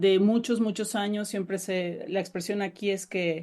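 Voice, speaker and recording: With a Mexican accent, a woman speaks at medium pitch and a fairly slow pace. Her intonation is fairly even, and the background is quiet. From Mexico. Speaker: novelist. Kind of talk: interview.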